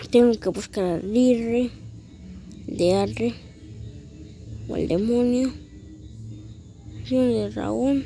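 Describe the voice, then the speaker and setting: A woman at medium pitch with very wide pitch swings, a very slow pace, long frequent pauses and music in the background. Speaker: gaming youtuber. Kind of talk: gameplay commentary.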